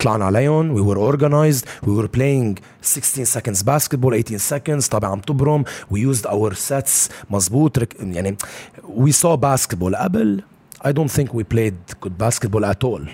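A man's medium-pitched voice in a Lebanese accent, with lively intonation. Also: moderate pace. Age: 20s. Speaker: basketball coach. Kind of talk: casual interview. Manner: heavy Arabic-English code-switching.

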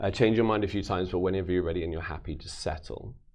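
Speaking very fast, a man with a London accent varies his pitch in an ordinary way. Audible room echo surrounds his voice. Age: 40s. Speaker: magician. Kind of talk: live magic performance; casual chat. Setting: studio.

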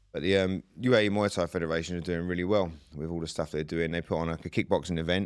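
Very fast with hardly any pauses, a man with an English accent talks in a very deep, low pitch and fairly even intonation, on a very clean recording with a silent background. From UK. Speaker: Muay Thai coach and ex-fighter. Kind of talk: interview. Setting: studio. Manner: casual.

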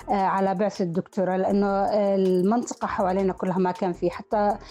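The talking moves at a moderate pace. Background noise is noticeable throughout. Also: woman. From northern Jordan. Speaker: university lecturer in rhetoric and linguistics. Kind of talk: personal life story interview. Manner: halting with repetitions.

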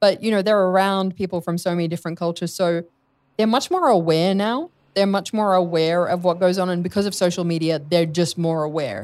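A woman with an Australian accent speaks at a fairly quick pace and fairly low pitch with fairly even intonation, on a very clean recording with a silent background. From Australia, Sydney. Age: 40s. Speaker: speaker and radio/TV presenter. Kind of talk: casual interview chat.

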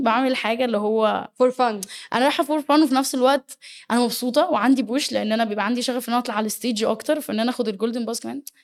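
A woman talks at a very fast pace in a high pitch, with ordinary pitch variation. The recording is very clean, with a silent background. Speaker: dance choreographer and teacher. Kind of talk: interview.

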